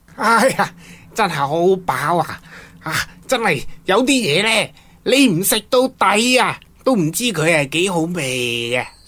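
In a cartoonish character voice, a woman speaks with a fairly bright tone and big pitch swings. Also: fairly low pitch for a woman, fairly slow pace.

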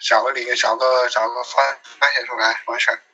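At a moderate pace, a man is talking. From Sichuan, Chengdu. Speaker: guest. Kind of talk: casual chat.

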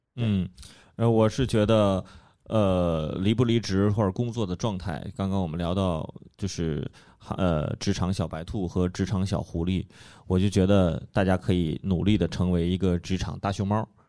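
A man speaks at a moderate pace with fairly even intonation. His pitch is very deep and low, his tone dark and mellow. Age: 30s. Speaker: podcast host and stand-up comedy club member. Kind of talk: casual chat.

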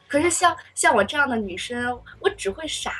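A woman's voice with lively intonation over noticeable background noise. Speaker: university student. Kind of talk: casual chat.

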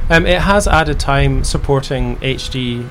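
Here a man speaks with a Scottish accent. Audible room echo and noticeable background noise fill the recording. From Scotland. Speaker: video game developer and company founder. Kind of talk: interview.

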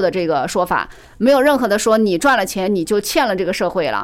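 A woman talks loudly at a fairly quick clip. Her intonation is lively. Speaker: business commentator guest. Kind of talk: casual chat.

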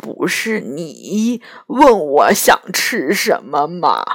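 A raspy, hoarse put-on character voice at a middle pitch crawls along at a very slow pace.

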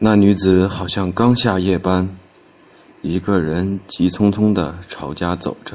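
Very deep and low, a man's voice moves at a very slow pace with fairly even intonation. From Henan, Xinxiang. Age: 20s. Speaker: storytelling contest entrant. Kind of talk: reading aloud.

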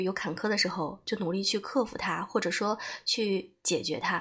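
This woman has a medium pitch, ordinary pitch variation, and a normal speaking voice. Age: 30s. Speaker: podcast host and book-club narrator. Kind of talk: personal reflective monologue.

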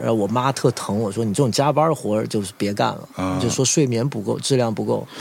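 Over noticeable background noise, a man talks at a fairly quick pace with hardly any pauses, medium pitch and ordinary pitch variation. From Guangzhou, China (raised in a military compound, Mandarin-speaking). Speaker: bar owner and brand businessman. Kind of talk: casual interview chat.

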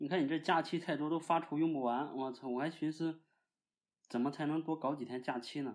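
A man speaks with a Shandong accent at a fairly quick pace. His voice is fairly high, with fairly even intonation, on a very clean recording with a silent background. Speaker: guest co-host. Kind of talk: casual chat.

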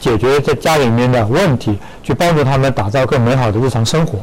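Noticeable background noise runs under this recording. A man speaks at a medium pitch with ordinary pitch variation. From not from Hefei. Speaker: store marketing manager. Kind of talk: radio interview. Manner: hesitant with fillers.

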